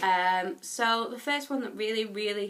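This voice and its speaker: A woman talks at a moderate pace. Her voice is fairly high, with a bright, sharp tone. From England. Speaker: YouTuber. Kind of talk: casual vlog tag video.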